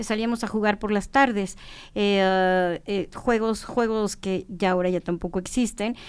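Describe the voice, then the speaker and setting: The woman's mid-range pitch and fairly even intonation come through on a very clean recording against a silent background. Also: fairly slow pace. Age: 60s. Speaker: traditional food knowledge expert. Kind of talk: podcast conversation. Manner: halting.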